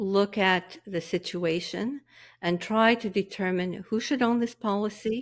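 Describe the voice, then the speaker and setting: This is a woman with an ordinary speaking voice at a medium pitch. The recording is very clean, with a silent background. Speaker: tax and estate planning specialist. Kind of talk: professional discussion.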